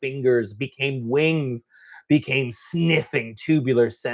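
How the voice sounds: The background stays quiet while a natural reading voice moves its pitch in ordinary ways.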